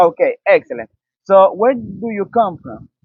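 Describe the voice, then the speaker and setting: Speaking with a Spanish accent, this man keeps to a moderate pace. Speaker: student interviewer. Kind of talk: street interview.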